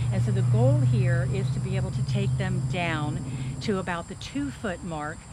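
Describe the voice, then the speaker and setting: There is audible room echo around this woman's voice. Noticeable background noise runs underneath. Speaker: gardening vlogger. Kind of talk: tutorial. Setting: outdoors. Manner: fast.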